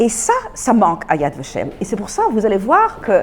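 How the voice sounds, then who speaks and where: A woman with a non-native accent at a fairly slow pace, with very wide pitch swings. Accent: foreign accent in French. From Belgium, Antwerp. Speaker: Holocaust lecturer. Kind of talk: lecture. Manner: halting.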